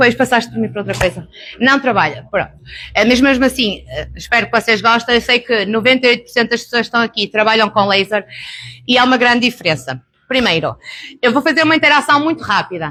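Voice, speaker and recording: Loud and at a very fast pace, the voice has a European Portuguese accent, a bright, sharp tone, vocal fry and ordinary pitch variation. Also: woman, fairly high pitch for a woman. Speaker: beauty therapist and laser trainer. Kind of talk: live workshop presentation. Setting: live event with audience.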